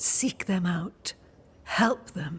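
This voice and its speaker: A female-sounding voice at medium pitch takes on a put-on character voice. The delivery is solemn. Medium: video game. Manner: cryptic, measured, solemn.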